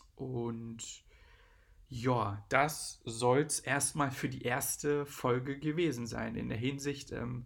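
A man at a medium pitch speaks with fairly even intonation. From eastern Germany (Brandenburg / Saxony-Anhalt, Magdeburg area). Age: 30s. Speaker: DJ and podcast host. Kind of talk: casual solo podcast monologue. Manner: hesitant, many filler sounds.

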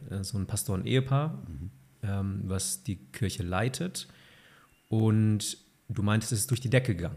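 Speaking at a moderate pace with a fairly low pitch, a somewhat breathy man uses lively intonation and long, frequent pauses on a very clean recording with a silent background. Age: 30s. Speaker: podcast host. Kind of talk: interview.

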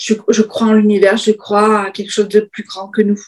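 A woman's fairly high, somewhat breathy voice at a moderate pace. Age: 50s. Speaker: business coach. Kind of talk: interview.

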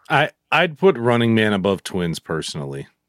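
With an ordinary speaking voice, a man talks at a moderate pace with lively intonation, his sound dry and close with no echo on a very clean recording with a silent background. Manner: laughing, easygoing.

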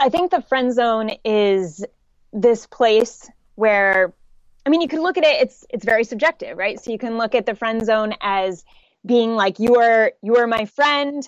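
A woman with a normal speaking voice talks at a fairly slow pace, her pitch fairly high with ordinary pitch variation. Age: 20s. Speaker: dating coach. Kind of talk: casual interview chat.

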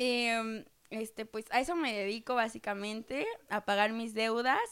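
A woman's fairly high voice, an ordinary speaking voice, at a moderate pace with fairly even intonation. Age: 20s. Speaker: podcast co-host, office worker in finance. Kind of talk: casual chat.

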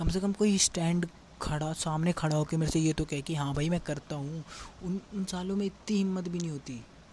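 A high-pitched male voice at a moderate pace, with fairly even intonation. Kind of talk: casual personal message to a friend.

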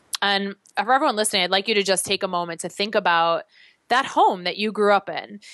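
In a very clean recording with a silent background and a dry, close sound with no echo, a woman with an American accent talks very fast at a medium pitch with ordinary pitch variation. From US Midwest, Chicago. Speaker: fitness instructor. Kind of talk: casual chat; guided exercise instructions.

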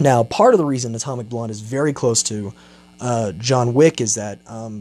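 A man with an ordinary speaking voice talks at a moderate pace in a medium pitch with ordinary pitch variation. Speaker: podcast host. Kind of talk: solo movie review. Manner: casual, many filler words. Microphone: testing new microphone, technical difficulties in first half.

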